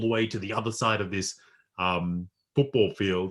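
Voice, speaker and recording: On a very clean recording with a silent background, a man talks at a moderate pace with fairly low pitch and fairly even intonation. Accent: Australian. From rural New South Wales, Australia. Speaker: poet and life coach. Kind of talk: workshop presentation.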